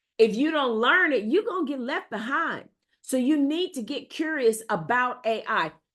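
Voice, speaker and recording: A woman's high-pitched, animated voice with an American accent, very wide pitch swings and a moderate pace. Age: 60s. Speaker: AI educator. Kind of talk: tutorial. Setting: video recording with screen share.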